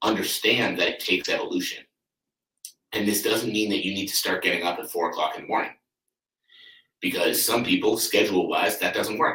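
Speaking at a fairly quick pace, a man leaves long, frequent pauses. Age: 30s. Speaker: podcast host and athletic coach. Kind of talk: solo motivational podcast monologue.

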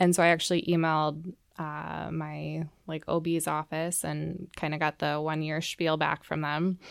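Speaking with an Upper Midwest accent, a woman uses a very deep, low pitch and a monotone, flat intonation at a fairly slow pace. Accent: Upper Midwest American. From Minnesota, Twin Cities suburbs. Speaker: physician assistant. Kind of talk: interview, personal testimony.

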